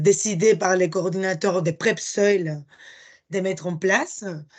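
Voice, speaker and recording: A woman with a Spanish accent at medium pitch and a very slow pace. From Spain. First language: Spanish (speaking French). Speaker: project presenter. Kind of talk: conference presentation. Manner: halting, many hesitations.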